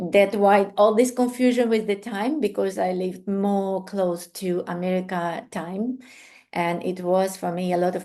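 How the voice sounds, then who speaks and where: With a non-native accent, a woman speaks fairly slowly in a dark, mellow tone at a medium pitch. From Ukraine. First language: Ukrainian or Russian. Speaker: art therapy instructor and coach. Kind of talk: online class introduction. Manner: hesitant, many fillers.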